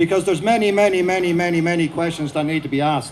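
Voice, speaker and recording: A man speaks at a very fast pace with an Irish accent. His pitch sits high for a man. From Ireland. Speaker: protest speaker, former police officer. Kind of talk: rally speech. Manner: animated.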